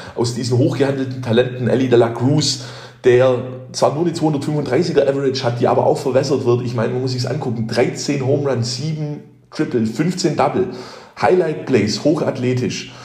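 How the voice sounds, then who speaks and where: Music in the background and audible room echo behind a man speaking with fairly even intonation. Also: medium pitch for a man, moderate pace. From Heidenheim, Swabia, Germany. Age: 20s. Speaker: baseball fan, former youth player. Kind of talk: recorded monologue season review.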